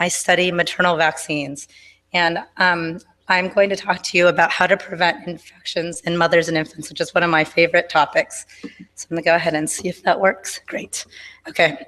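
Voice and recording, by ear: A woman speaks at a fairly quick pace in a fairly low pitch with a fairly bright tone and little pitch movement.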